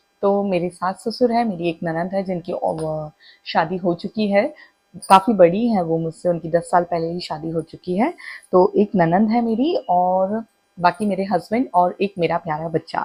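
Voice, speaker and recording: A woman's medium-pitched voice, somewhat breathy with a dark, mellow tone, moves with ordinary pitch variation. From Madhya Pradesh, India (Itarsi, near Bhopal). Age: 20s. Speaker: vlogger. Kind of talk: casual self-introduction vlog.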